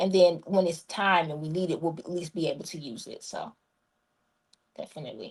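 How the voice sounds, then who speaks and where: A somewhat breathy woman with a fairly low pitch and ordinary pitch variation talks at a fairly quick pace, with long, frequent pauses and big swings in loudness. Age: 30s. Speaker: guest, disaster preparedness author. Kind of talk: interview.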